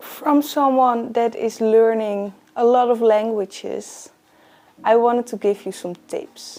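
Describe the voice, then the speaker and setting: Music plays in the background as a woman with a Dutch accent speaks. Her voice is fairly high, and her pace is very slow. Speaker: book YouTuber. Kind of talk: tutorial.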